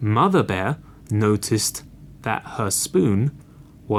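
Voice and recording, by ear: This is someone reading aloud in a natural voice. The delivery stays that way throughout.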